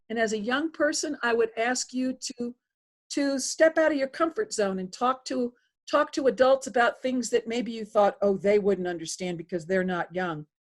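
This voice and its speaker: A high-pitched woman with an American accent, lively intonation and a moderate pace. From US Northeast. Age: 60s. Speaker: political candidate. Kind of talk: interview. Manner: hesitant.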